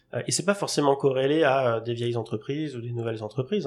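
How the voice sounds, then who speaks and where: This man has an ordinary speaking voice at a medium pitch, with fairly even intonation. He talks at a fairly quick pace against a quiet background. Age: 30s. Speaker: product management consultant. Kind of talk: podcast interview.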